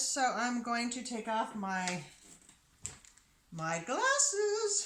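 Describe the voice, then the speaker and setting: High-pitched female speech with noticeable background noise and audible room echo. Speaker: soap maker and channel host. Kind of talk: tutorial. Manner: animated.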